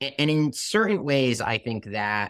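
This is a man speaking. He goes at a fairly slow pace. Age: 20s. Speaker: reporter and podcast co-host. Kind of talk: interview.

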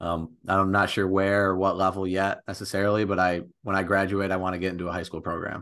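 A man with an American accent talks very fast in a very deep, low voice, with hardly any pauses. His intonation is monotone and flat, over a quiet background. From Michigan, the thumb. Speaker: college basketball player. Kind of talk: casual interview.

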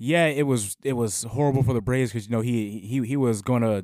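A man's normal speaking voice at medium pitch, fairly quick, with ordinary pitch variation on a very clean recording with a silent background. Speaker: podcast co-host.

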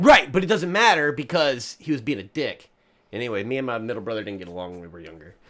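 A man with a Kentucky accent speaks at a very fast pace and a medium pitch, making very wide pitch swings, on a very clean recording with a silent background. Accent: Southern US (Kentucky). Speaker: recurring podcast guest. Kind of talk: casual comedic chat.

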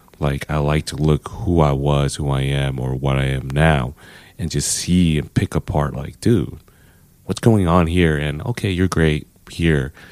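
Very deep and low, a man's voice with an American accent moves at a fairly slow pace with ordinary pitch variation. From Los Angeles. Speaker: CrossFit coach, formerly incarcerated. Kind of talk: casual interview.

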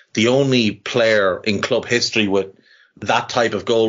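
This man has a fairly low pitch. He speaks with an Irish accent. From Ireland. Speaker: football podcaster. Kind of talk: casual chat.

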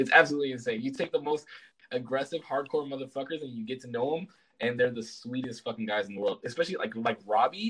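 A man talks at a very fast pace in a medium pitch with ordinary pitch variation. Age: 20s. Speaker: streamer. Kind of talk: casual chat.

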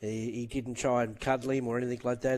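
A man's medium-pitched, monotone voice with flat intonation, in an Australian accent at a fairly quick pace. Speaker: racing analyst. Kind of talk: casual chat about racing.

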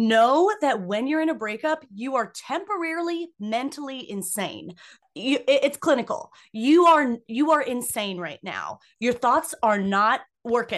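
A woman is shouting loudly in a high voice with very wide pitch swings. Her pace is fairly slow, over a quiet background. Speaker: podcast co-host. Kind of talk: casual banter. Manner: loud, animated, screaming; excitable.

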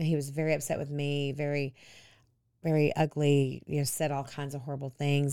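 A woman with a very deep, low pitch and a dark, mellow tone speaks at a fairly quick pace in a Texan accent. The recording is very clean, with a silent background. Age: 50s. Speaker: pastor's wife, recovered addict. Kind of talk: interview, personal testimony.

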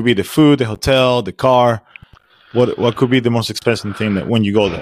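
A man speaks with a Spanish accent at a medium pitch and fairly quick pace. The sound is dry and close, with no echo. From Venezuela. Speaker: podcast host. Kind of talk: casual interview. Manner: informal, laughs often.

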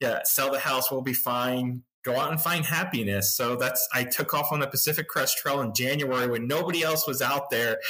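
Over noticeable background noise, a man speaks at a moderate pace with fairly even intonation and very even loudness. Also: medium pitch for a man. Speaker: hiker and YouTuber. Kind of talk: casual interview.

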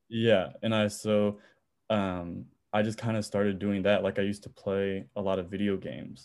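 In an American accent, a man with an unremarkable speaking voice talks at a moderate pace, fairly low in pitch and with fairly even intonation. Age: 20s. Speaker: music producer and college student. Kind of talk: casual chat.

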